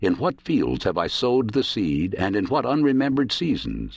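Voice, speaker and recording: A man speaks at a moderate pace with vocal fry. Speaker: audiobook narrator. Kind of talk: dramatic audiobook narration of prose poetry, read aloud. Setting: studio. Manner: solemn, measured and lyrical, with a prophetic, reverent cadence.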